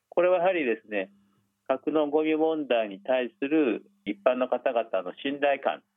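Music plays in the background as a man speaks at a fairly slow pace. His pitch is fairly high, with ordinary variation. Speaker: nuclear policy professor. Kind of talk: interview.

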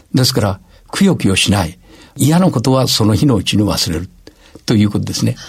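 Lively intonation with a somewhat breathy quality. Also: man. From Gifu Prefecture, Japan. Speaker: university president. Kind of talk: radio interview.

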